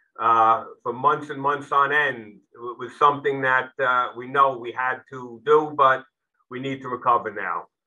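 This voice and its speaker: The delivery is fairly slow with fairly even intonation. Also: man. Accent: New York. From New York City, the Bronx. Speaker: retired police chief. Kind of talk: briefing talk. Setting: video call. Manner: hesitant fillers.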